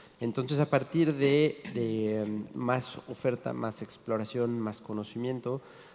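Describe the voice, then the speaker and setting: A man with a medium pitch talks at a very slow pace. He barely pauses, and his pitch varies in an ordinary way. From Mexico City. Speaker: chef and restaurateur. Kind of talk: panel talk.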